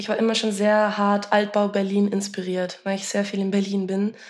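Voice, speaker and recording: With a moderate pace and a medium pitch, a woman's voice carries through audible echo in the room. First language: Dutch (one of several native languages) (speaking German). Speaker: musician. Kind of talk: casual interview chat. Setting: video call from home.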